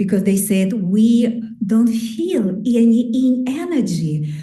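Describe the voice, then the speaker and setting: A woman talks at a very slow pace with ordinary pitch variation. Audible room echo and noticeable background noise are present. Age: 60s. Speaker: qigong teacher. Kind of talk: conference talk. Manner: halting.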